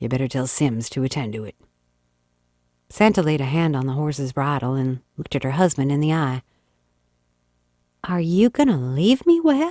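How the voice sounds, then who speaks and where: In a very clean recording with a silent background, a woman speaks at a moderate pace with a very deep, low pitch and a dark, mellow tone. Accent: Texas. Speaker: audiobook narrator. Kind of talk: classic short story reading.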